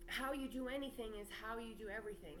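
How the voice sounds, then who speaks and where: A woman speaks at a fairly high pitch and a moderate pace. Noticeable background noise and audible room echo surround her voice. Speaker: spiritual teacher and channel owner. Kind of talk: spiritual monologue to camera. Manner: loud, projected.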